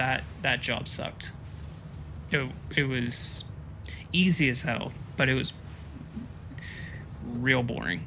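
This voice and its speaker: Speaking very slowly with long, frequent pauses, a man with an American accent uses lively intonation at a medium pitch, over noticeable background noise and audible room echo. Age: 40s. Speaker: gaming streamer. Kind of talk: casual chat. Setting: live stream. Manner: casual, many fillers.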